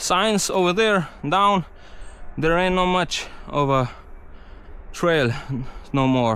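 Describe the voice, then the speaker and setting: A man with a Slovenian accent, high-pitched, with lively intonation. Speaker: mountain bike vlogger. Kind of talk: casual vlog narration. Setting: outdoors on bike trail. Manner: halting; animated.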